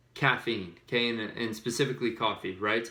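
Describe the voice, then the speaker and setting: A man speaks at medium pitch. Audible room echo surrounds his voice. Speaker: fitness vlogger. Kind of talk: casual tutorial. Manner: fast.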